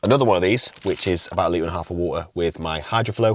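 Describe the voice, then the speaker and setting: Against noticeable background noise, a man talks at a very fast pace with ordinary pitch variation. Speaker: fitness coach and natural bodybuilder. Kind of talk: casual vlog; voiceover narration. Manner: quiet.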